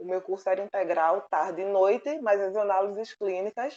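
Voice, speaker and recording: In a Pernambuco accent, a woman speaks at a moderate pace with a medium pitch and fairly even intonation. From Pernambuco, Brazil. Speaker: oceanography doctoral student. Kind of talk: interview answer.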